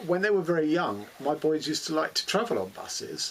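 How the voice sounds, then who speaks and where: Over noticeable background noise, a man with a London accent speaks at a fairly high pitch with lively intonation. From London, England. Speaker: booktuber. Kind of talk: casual monologue. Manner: hesitant, many fillers.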